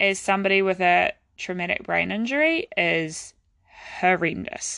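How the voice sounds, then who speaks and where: Speaking at a very slow pace, a woman with a New Zealand accent talks at medium pitch against a quiet background. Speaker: physiotherapist. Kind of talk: personal storytelling monologue.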